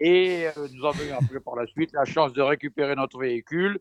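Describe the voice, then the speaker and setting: Dry and close with no echo, a man's fairly high voice keeps fairly even intonation. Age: 70s. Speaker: retired traveller. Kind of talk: casual chat. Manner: halting.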